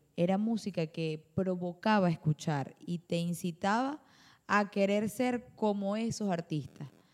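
A woman with an ordinary speaking voice, medium in pitch and with ordinary pitch variation, at a fairly slow pace on a very clean recording with a silent background. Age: 20s. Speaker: band vocalist. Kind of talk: casual chat.

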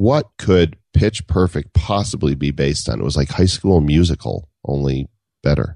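A man's very deep, low voice with vocal fry and an American accent, at a moderate pace with ordinary pitch variation, dry and close with no echo against a quiet background. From US Midwest, Chicago area. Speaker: author and entrepreneur. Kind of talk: casual chat.

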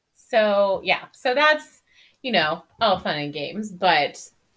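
This woman's pitch rises and falls very widely. She has an American accent. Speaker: podcast host. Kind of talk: casual chat.

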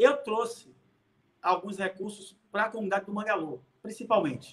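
A man talks with a high pitch. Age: 50s. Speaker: city councillor and political activist. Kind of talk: live-streamed interview.

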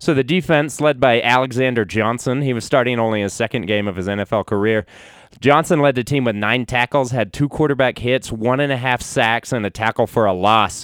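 A plain, everyday voice goes at a fairly quick pace with ordinary pitch variation. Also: man, medium pitch for a man. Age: 30s. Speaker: sports podcast host. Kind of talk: solo sports analysis podcast.

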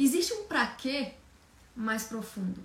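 A woman is speaking. Her pitch is high. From Minas Gerais, Brazil. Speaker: communication coach. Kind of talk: online lecture.

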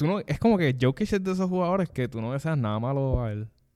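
Lively intonation marks this man's speech, his pitch fairly high, his tone dark and mellow, his pace moderate. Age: 20s. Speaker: sports podcast host. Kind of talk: casual chat. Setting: studio.

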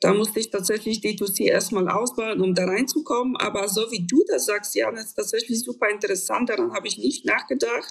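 Lively intonation marks this somewhat breathy voice, which moves at a moderate pace. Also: woman. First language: Polish (speaking German). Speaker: cosmetics developer and founder. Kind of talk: interview. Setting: video call.

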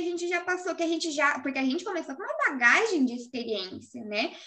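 A woman projects a raised voice at an extremely high pitch, with a bright, sharp tone. She moves at a fairly quick pace with hardly any pauses. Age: 20s. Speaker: engineer and design office owner. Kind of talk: casual interview chat.

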